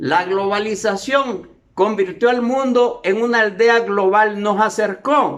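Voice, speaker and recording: With audible room echo around him, a man speaks at a very slow pace in a high pitch with fairly even intonation. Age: 70s. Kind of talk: sermon-style lecture.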